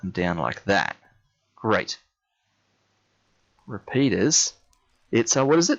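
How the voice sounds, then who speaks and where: A man with an Australian accent at a fairly slow pace, with very wide pitch swings. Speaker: gamer streamer. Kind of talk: live gameplay commentary. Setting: live stream. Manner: casual, hesitant with fillers.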